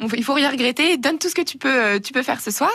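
A woman with a high pitch and a bright, sharp tone. She speaks at a fairly quick pace. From Burgundy, France (Auxerre). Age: young. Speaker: beauty pageant winner. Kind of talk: radio interview.

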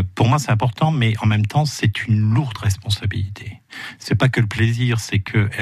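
A somewhat breathy man's voice with ordinary pitch variation over a quiet background. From Moselle, France. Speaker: ecologist and author. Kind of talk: radio interview. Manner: hesitant, many fillers.

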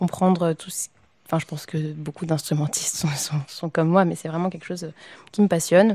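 A woman speaks at a fairly quick pace in a fairly low pitch, her tone dark and mellow and somewhat breathy. Her intonation is monotone and flat, with big swings in loudness. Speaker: opera singer. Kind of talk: casual chat. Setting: live before a public audience. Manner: halting.

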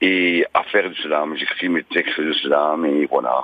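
A man speaks over noticeable background noise. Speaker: caller, former stutterer. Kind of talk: phone-in testimony. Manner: occasional stutter.

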